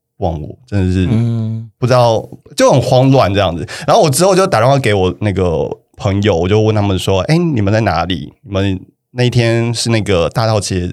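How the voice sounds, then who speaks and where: With a plain, everyday voice, a man speaks at a fairly low pitch and with lively intonation. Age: 30s. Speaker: podcast guest. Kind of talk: casual chat.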